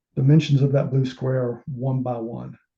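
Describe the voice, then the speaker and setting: A man speaks at a medium pitch. His tone is dark, mellow and somewhat breathy. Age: 60s. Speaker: amateur telescope maker. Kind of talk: technical presentation. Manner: halting.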